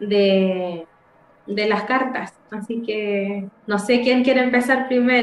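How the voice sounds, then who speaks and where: A woman's fairly high voice, very slow and fairly even, with noticeable background noise. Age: 30s. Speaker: tarot reader. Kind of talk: tarot reading.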